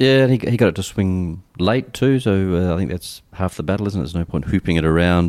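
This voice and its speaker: Very fast and with hardly any pauses, a man talks at a very deep, low pitch. His pitch variation is ordinary, in a very clean recording with a silent background. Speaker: cricket journalist. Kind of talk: casual chat.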